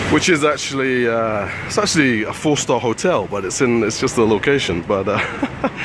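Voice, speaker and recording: A British-accented man at a medium pitch, with lively intonation, a moderate pace, hardly any pauses, and noticeable background noise. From UK. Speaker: travel vlogger. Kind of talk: walking vlog commentary. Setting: outdoors, walking city streets. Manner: quiet, hushed; hesitant, many fillers.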